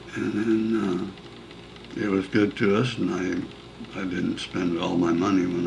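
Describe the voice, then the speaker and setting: The speech has lively intonation, with a Pacific Northwest accent. Noticeable background noise is present. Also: man. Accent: Pacific Northwest American. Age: 80s+. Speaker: retired businessman. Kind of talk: interview answer.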